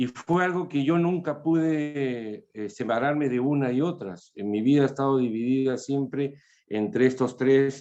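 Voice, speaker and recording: With a dark, mellow tone, a man talks at a fairly slow pace and fairly high pitch, his pitch varying in an ordinary way, with hardly any pauses. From Peru, Lima. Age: 60s. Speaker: author. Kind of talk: interview. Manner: hesitant, many fillers.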